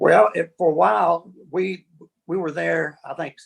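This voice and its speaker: A man with an Alabama accent at a moderate pace. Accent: Southern US (Alabama). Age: 70s. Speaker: session bassist. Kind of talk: interview.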